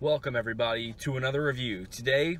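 Music runs in the background while a man talks at a moderate pace. The sound is dry with no echo, and his pitch varies in an ordinary way. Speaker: food review vlogger. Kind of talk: casual vlog chat. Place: car. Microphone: phone near.

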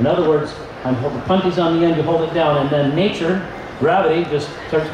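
A man talks at a fairly quick pace with a fairly high pitch. Background noise is clearly present.

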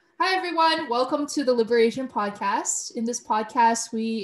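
Somewhat breathy, a woman with a Canadian accent speaks with ordinary pitch variation amid audible room echo. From Canada. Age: 20s. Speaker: life coach and podcast host. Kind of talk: casual interview. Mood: friendly, smiling. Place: home room.

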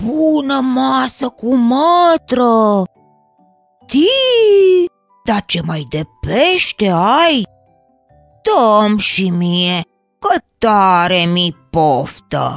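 A put-on character voice that sounds female, fairly high in pitch, swings very widely in pitch. Long, frequent pauses break it up, with faint music in the background. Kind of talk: children's story acting. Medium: audio drama. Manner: eager, pleading, naive.

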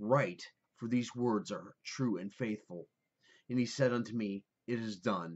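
At a fairly slow pace, a man speaks over a quiet background. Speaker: speaker. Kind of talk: scripture reading. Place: home room.

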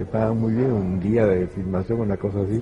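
Speaking with a coastal Peruvian accent, a man uses a fairly low pitch, a moderate pace and fairly even intonation. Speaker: actor. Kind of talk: interview answer.

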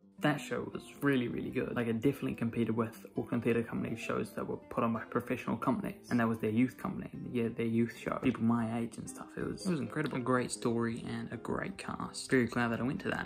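Over faint music in the background, a man rattles along at a very fast pace with hardly any pauses. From New Zealand. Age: young. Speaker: film and theatre student. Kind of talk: casual vlog talk to camera. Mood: relaxed, a bit tired from heat.

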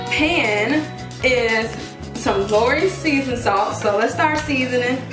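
The woman's delivery is fairly slow. Behind her, clear music can be heard. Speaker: home cook vlogger. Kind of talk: cooking tutorial chat. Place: kitchen.

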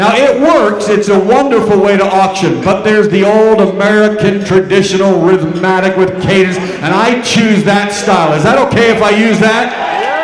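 At a moderate pace and high pitch, a man speaks with hardly any pauses, with light background noise and audible room echo. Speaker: professional charity auctioneer. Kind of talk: live charity auction, auctioneer patter. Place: hall. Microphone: handheld.

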